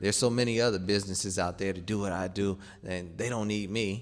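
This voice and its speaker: Audible room echo surrounds a man who talks at a fairly quick pace. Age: 30s. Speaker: preacher. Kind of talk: sermon.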